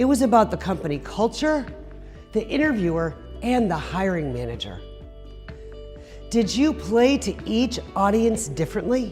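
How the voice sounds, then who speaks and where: A woman speaks at a moderate pace with long, frequent pauses while music plays in the background. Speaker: fundraising auctioneer and motivational speaker. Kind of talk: motivational speech to an audience.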